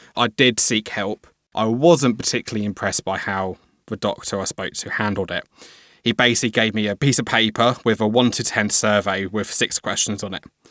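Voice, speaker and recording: On a very clean recording with a silent background, a man with a southern English accent speaks fairly quickly at a fairly low pitch, his intonation fairly even. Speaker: cyber security worker, mental health advocate. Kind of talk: interview testimony.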